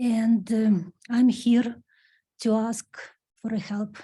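A woman speaks with a strong non-native accent in a fairly high pitch. Her tone is dark and mellow and somewhat breathy. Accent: strong foreign. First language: not English. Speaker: resident speaking at public comment. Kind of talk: public comment at council meeting. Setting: town council meeting at lectern. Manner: halting.

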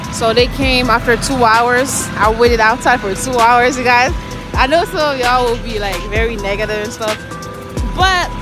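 Over clear background music, a woman speaks with ordinary pitch variation in a dry sound with no echo. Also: moderate pace. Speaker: truck driver vlogger. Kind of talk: casual vlog chat. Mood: upbeat, relieved. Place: street. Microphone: phone near.

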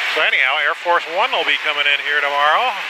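Over loud background noise, a man talks at a fairly quick pace, the sound dry with no echo. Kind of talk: flight commentary. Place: plane. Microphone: headset.

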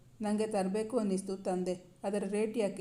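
What we hear is reading aloud in a natural voice.

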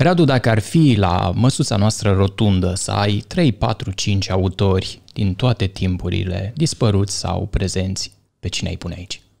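A man with a fairly low pitch, somewhat breathy and at a fairly slow pace, over a quiet background. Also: ordinary pitch variation. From Romania, Bărăgan region; Romania. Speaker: podcast host. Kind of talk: casual interview. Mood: calm, thoughtful. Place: studio. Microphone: studio mic.

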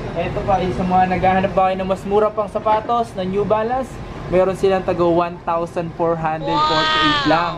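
A man talks at a fairly quick pace. Loud background noise runs underneath him. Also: ordinary pitch variation. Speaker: vlogger. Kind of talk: casual product review vlog. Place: shop. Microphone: phone near.

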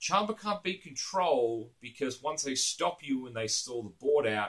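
A man with an Australian accent against a quiet background. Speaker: card game YouTuber. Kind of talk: casual monologue to camera. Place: home room.

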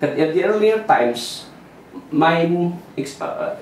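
Amid audible room echo and light background noise, a man speaks. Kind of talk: explanatory talk at a whiteboard. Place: office.

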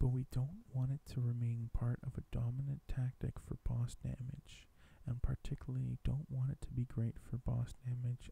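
A man whispers, somewhat breathy, at a moderate pace. There are hardly any pauses. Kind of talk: ASMR reading of game news article. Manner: whispered.

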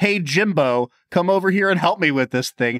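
Shouting in a put-on character voice, a man pushes a strong Texas accent at high pitch with lively intonation. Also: moderate pace, very even loudness. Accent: thick Texas. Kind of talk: casual, friendly. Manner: loud, yelling across a square.

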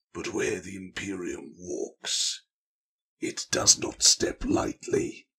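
Raspy and extremely high in pitch, a man speaks at a very slow pace. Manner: boorish, sneering.

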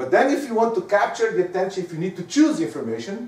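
There is noticeable background noise. Through it, a man speaks with lively intonation. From Portugal. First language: Portuguese. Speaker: professor. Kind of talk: lecture. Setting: stage with audience.

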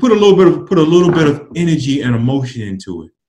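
Over music in the background, a man with a fairly high pitch talks very fast, his pitch swinging very widely. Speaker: public speaking coach. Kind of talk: instructional casual chat. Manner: animated.

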